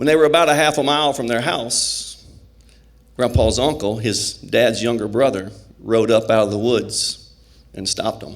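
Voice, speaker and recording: Speaking with a Southern US accent, a man talks at a moderate pace in a medium pitch with ordinary pitch variation and long, frequent pauses. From south Arkansas. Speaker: teacher, pastor and hospice chaplain. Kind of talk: live personal storytelling.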